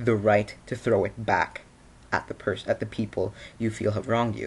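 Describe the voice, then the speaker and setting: A man's somewhat breathy, fairly low voice at a moderate pace. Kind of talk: casual opinion vlog to camera. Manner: stuttering, rambling; frequent filler 'you know'.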